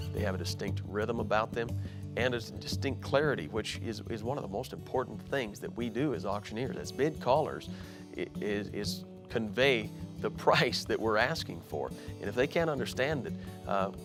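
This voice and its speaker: Music plays behind a man speaking with an American accent and lively intonation. His pitch is fairly low. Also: moderate pace. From Montana, USA. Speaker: auctioneer and auction school instructor. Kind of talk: promotional interview talking about his career. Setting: interview for school promo video.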